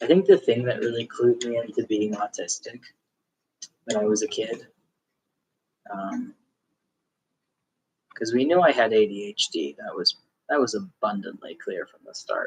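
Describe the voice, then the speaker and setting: A relaxed-toned man at a moderate pace, with big swings in loudness and long, frequent pauses, in a dry, close sound with no echo. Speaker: craft video creator, clinic receptionist. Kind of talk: casual chat while spinning wool. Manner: relaxed, many fillers.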